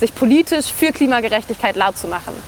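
Her pitch is fairly high and her intonation lively as this woman speaks at a fairly quick pace. Noticeable background noise is present. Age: 20s. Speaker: climate activist and university student. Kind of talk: interview.

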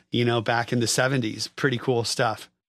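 A man's medium-pitched voice with an American accent, monotone and flat, at a moderate pace in a very clean recording with a silent background. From US West Coast, San Francisco Bay Area. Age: 50s. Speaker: musician and record producer. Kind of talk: casual chat.

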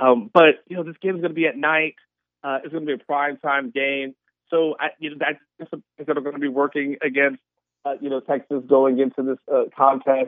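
A man with an unremarkable speaking voice talks at a fairly quick pace, his fairly high pitch held in fairly even intonation. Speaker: sports analyst. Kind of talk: sports interview.

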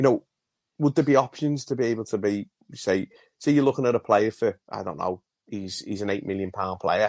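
Against a quiet background with a dry, close sound and no echo, a man uses a normal speaking voice at a medium pitch, speaking at a fairly quick pace with ordinary pitch variation. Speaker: caller. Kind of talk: phone-in call.

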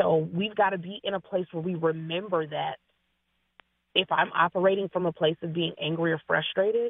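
A woman speaks with a West Coast accent at a moderate pace. Her pitch is fairly low. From US Pacific Northwest, Seattle area. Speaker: registered nurse and wellness coach. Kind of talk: radio interview.

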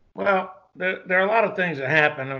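This man speaks with a Southern US accent. The background is quiet. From US South (Georgia). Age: 60s. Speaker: retired special forces soldier and martial arts instructor. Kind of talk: casual interview conversation.

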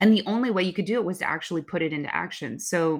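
On a very clean recording with a silent background, a woman with an American accent speaks fairly quickly with vocal fry. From US West Coast, Bay Area (Oakland). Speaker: marketing executive. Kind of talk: interview.

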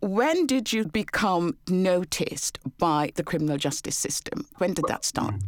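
A woman's ordinary speaking voice, medium in pitch, at a fairly slow pace with lively intonation and hardly any pauses. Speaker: podcast host and barrister. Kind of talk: interview.

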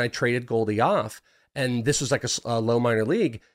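The recording is very clean with a silent background as a man with an American accent speaks at a moderate pace. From US West, Northern California (Bay Area). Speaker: fantasy baseball prospect analyst. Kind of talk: casual chat.

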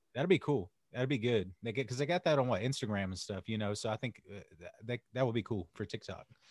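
Lively in intonation, a man with a slight Southern US accent talks at a very fast pace, the sound dry and close with no echo. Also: medium pitch for a man. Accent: Southern US, slight country twang. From US South, North Carolina. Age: 30s. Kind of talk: casual interview chat.

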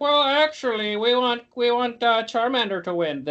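In a put-on character voice, a female-sounding speaker whines at a high pitch and a fairly slow pace. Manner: mocking, whiny.

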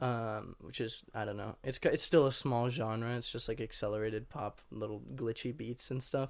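Heard over a quiet background in a plain, everyday voice with an American accent, the speaker keeps a moderate pace with fairly even intonation and hardly any pauses. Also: man, medium pitch for a man. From Washington state, US. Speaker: musician. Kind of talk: interview.

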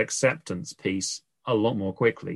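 Recorded against a quiet background, a man's voice comes through dry and close, with no echo. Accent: British. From UK. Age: 40s. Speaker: life coach. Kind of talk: interview.

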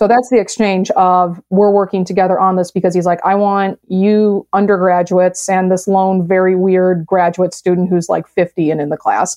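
A woman with an American accent speaks in a monotone, flat intonation at very even loudness. She barely pauses. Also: medium pitch for a woman, moderate pace. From US Midwest, south side of Chicago. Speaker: science writer and STEM program director. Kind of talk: podcast interview.

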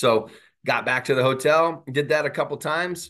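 A man with an American accent at a fairly quick pace, against a quiet background. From Southern California. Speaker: college softball head coach. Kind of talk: interview.

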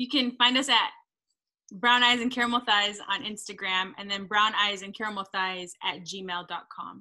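Speaking very slowly, a woman with a medium-pitched, bright and sharp voice keeps her intonation fairly even. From Texas. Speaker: podcast co-host, doctoral student. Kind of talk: interview. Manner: code-switching Spanish and English.

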